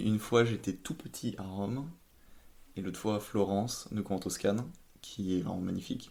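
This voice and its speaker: With a dark, mellow tone and fairly low pitch, a man talks at a moderate pace with ordinary pitch variation and long, frequent pauses. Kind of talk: podcast interview answer.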